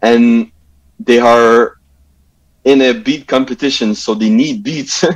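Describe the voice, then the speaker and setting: A man's medium-pitched voice at a very slow pace, very even in loudness, with long, frequent pauses. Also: ordinary pitch variation. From Montreal, West Island (Pierrefonds). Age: 20s. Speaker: music producer. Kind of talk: interview.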